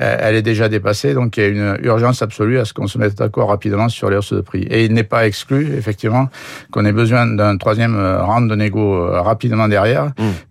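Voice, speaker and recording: A fairly quick, fairly low-pitched man's voice in a southern French accent, with ordinary pitch variation. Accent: southern French (Aveyron). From southern France, Aveyron. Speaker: dairy farmer and cooperative president. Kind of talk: radio interview. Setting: radio studio. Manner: hesitant, frequent repetitions.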